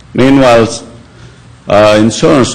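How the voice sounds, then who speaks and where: A man talks with ordinary pitch variation, over noticeable background noise and audible room echo. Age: 60s. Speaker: property owner at code hearing. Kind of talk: testimony.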